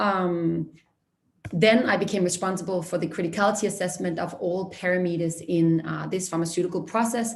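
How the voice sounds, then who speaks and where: A woman's vocal fry and fairly even intonation, with audible room echo. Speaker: junior consultant. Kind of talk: career talk presentation. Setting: online career fair. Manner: fast.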